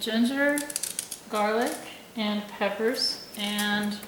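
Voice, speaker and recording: Soft-spoken and very slow, a woman with fairly high pitch talks over noticeable background noise. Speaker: microbiologist. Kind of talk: cooking tutorial talk.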